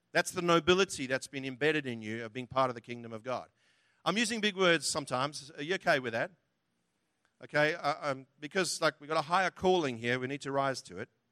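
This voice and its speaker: In a very clean recording with a silent background, a man speaks at a very fast pace, his fairly high voice bright and sharp in tone, with a dry, close sound and no echo. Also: lively intonation. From outside Australia. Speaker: preacher. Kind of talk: sermon. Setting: church.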